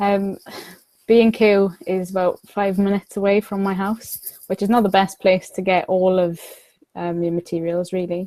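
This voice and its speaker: In a South Wales accent, a woman talks at a moderate pace and medium pitch, her intonation monotone and flat, her tone dark and mellow, and the sound dry and close with no echo. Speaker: miniature prop maker. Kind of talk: podcast interview.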